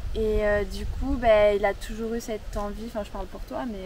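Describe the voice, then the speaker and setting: A woman speaks at a moderate pace with a medium pitch and ordinary pitch variation, over noticeable background noise. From France. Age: 20s. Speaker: campsite owner. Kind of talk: interview.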